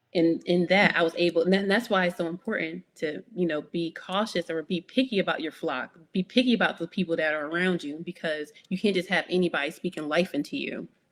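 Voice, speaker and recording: With hardly any pauses, a woman talks at a fairly quick pace. Her voice is fairly low, with ordinary pitch variation. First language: not English. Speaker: author. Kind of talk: interview conversation.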